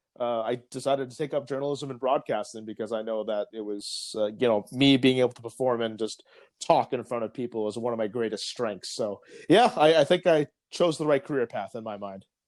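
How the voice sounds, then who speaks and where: A man with an unremarkable speaking voice and medium pitch talks at a fairly quick pace, showing ordinary pitch variation and big swings in loudness, on a very clean recording with a silent background. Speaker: podcast host, journalist and sports broadcaster. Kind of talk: casual chat.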